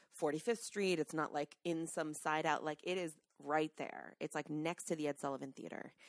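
A woman's very deep, low voice with a New York accent, fairly even intonation and a moderate pace, in a dry, close sound with no echo. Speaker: podcast co-host. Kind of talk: reading aloud; casual chat.

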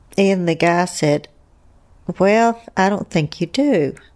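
A woman speaks at a medium pitch in an Appalachian accent. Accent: gentle Appalachian drawl. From US South, Asheville, North Carolina. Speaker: bereaved mother of a fallen Marine, teacher. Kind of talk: interview. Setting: at home.

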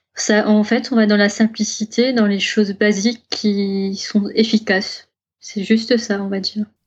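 A woman with a fairly high pitch speaks at a fairly slow pace. Her voice is somewhat breathy and her intonation monotone and flat. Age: 30s. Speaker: zero-waste advocate and online shop owner. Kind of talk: casual interview.

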